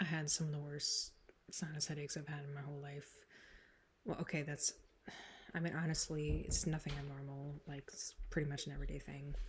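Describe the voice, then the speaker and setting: A somewhat breathy woman speaks at a very deep, low pitch in a monotone, flat delivery, with long, frequent pauses. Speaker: YouTuber doing song covers and vlogs. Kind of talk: casual vlog chat. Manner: casual, filler-heavy rambling speech.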